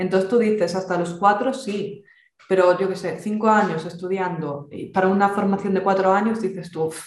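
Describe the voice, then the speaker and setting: The speaker has a Galician accent and fairly even intonation at a moderate pace. Audible room echo is present. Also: woman. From Galicia, Spain. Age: 20s. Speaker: exam candidate. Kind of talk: interview. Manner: talkative.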